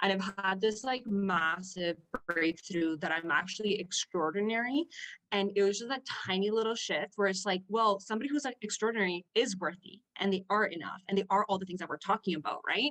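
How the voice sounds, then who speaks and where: A woman with a Spanish accent, fairly quick in pace, with ordinary pitch variation. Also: medium pitch for a woman, dry, close sound with no echo. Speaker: business coaching client. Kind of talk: podcast interview.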